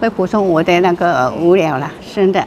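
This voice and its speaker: Amid noticeable background noise, a woman speaks at a fairly slow pace with ordinary pitch variation. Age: 80s. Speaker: retired amateur painter. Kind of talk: interview answer. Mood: calm, gentle. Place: hall.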